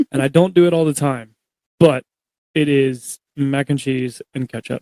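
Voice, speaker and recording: A man's dark, mellow voice with fairly even intonation, in a dry, close sound with no echo. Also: fairly high pitch for a man, moderate pace. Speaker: podcast host. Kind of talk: casual chat. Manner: loud.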